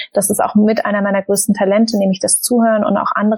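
Somewhat breathy speech at a fairly quick pace with fairly even intonation. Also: woman. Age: 20s. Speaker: startup founder and author. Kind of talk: casual interview.

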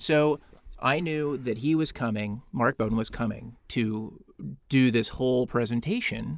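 At a fairly slow pace, a man talks in an unremarkable speaking voice of medium pitch with ordinary pitch variation. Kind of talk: casual chat.

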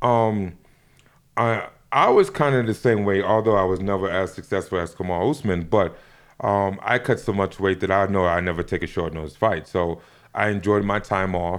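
A man speaks in an ordinary speaking voice with fairly low pitch, ordinary pitch variation and a moderate pace. The recording is very clean, with a silent background. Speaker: MMA coach and former fighter. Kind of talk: casual interview chat.

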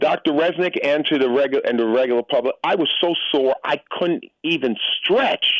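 A man with an American accent talks in a plain, everyday voice, at a fairly high pitch and moderate pace, with ordinary pitch variation and very even loudness. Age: 60s. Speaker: radio caller. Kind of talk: phone-in conversation. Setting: phone call.

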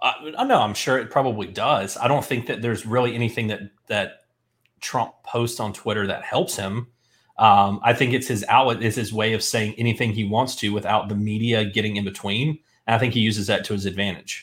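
This man has a plain, everyday voice at medium pitch, speaking fairly quickly with fairly even intonation. The recording is very clean, with a silent background. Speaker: podcast host. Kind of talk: casual chat.

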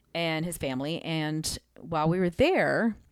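A woman with an ordinary speaking voice, fairly low in pitch, in a very clean recording with a silent background. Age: 40s. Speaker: worship leader. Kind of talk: casual interview. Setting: studio.

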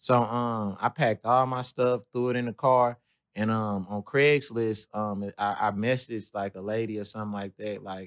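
Recorded very cleanly against a silent background with a dry, close sound and no echo, a man with an American accent talks at a moderate pace in an unremarkable speaking voice and fairly even intonation. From US Midwest, St. Louis. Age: 20s. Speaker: comedian and battle rapper. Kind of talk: casual interview.

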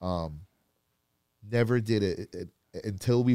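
A man with an American accent speaks with ordinary pitch variation, in a dry, close sound with no echo. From Florida. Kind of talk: casual chat.

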